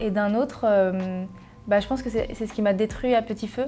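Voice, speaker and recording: A woman speaks with fairly even intonation in a fairly high voice that has a dark, mellow tone. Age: 20s. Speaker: journalist, content creator and singer. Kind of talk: personal testimony interview. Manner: hesitant, many fillers.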